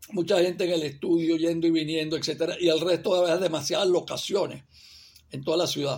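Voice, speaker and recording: At a moderate pace, a man speaks with a high pitch and monotone, flat intonation. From Venezuela, Barquisimeto. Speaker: film director. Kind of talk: interview. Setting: video call.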